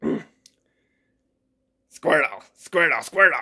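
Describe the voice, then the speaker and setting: A raspy, put-on character voice at a middle pitch. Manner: cutesy, cartoonish.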